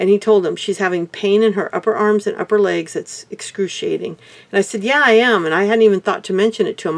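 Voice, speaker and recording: Speaking at a very fast pace with hardly any pauses, a woman holds a medium pitch and ordinary pitch variation. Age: 60s. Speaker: heart attack survivor vlogger. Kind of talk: personal testimony. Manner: halting.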